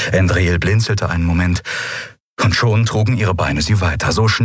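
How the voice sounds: The background stays quiet while someone reads in a natural voice.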